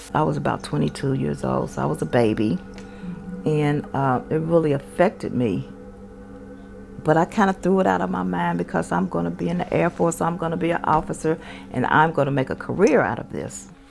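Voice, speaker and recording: Over music in the background, a woman with a very deep, low pitch talks at a fairly quick pace, her pitch swinging very widely. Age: 60s. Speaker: military veteran. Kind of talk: interview testimony. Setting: at home.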